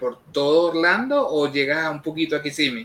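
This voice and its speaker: A man with a plain, everyday voice has a fairly high pitch. He keeps a moderate pace. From Venezuela, Carabobo. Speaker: online show co-host. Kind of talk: casual interview.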